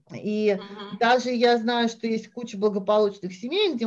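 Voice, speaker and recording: Speaking at a moderate pace, a woman has a fairly high pitch and a plain, everyday voice. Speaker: Russian expat mother. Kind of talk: casual chat.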